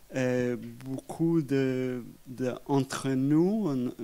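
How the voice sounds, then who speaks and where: With an English accent, a man speaks at a very slow pace and a medium pitch. His tone is dark and mellow, in a very clean recording with a silent background. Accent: English-speaking accent in French. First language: English (speaking French). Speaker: historian. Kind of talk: public talk interview. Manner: halting.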